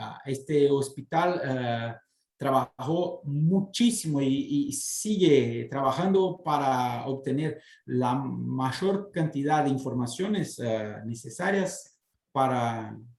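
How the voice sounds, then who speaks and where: In a Portuguese accent, a man with a fairly high pitch talks at a very slow pace with ordinary pitch variation. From southern Brazil, Porto Alegre. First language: Portuguese (speaking Spanish). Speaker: city guest speaker. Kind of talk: interview. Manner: halting, many fillers.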